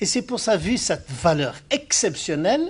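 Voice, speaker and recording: A man talks at a very slow pace with very wide pitch swings. The background is quiet. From Morocco. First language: Arabic (speaking French). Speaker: Islamic scholar, speaker. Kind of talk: lecture.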